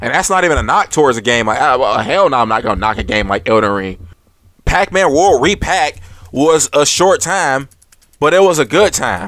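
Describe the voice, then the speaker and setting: With an animated tone and vocal fry, a man speaks at a moderate pace in a fairly high pitch, with very wide pitch swings. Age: 20s. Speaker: gaming YouTuber. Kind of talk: unscripted monologue. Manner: stutters on camera; casual, animated.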